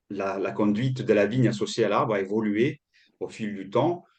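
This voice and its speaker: Against a quiet background, a man speaks at a moderate pace and a medium pitch. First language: Italian (speaking French). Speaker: agroforestry consultant. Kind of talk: webinar presentation. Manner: halting, many repetitions and fillers.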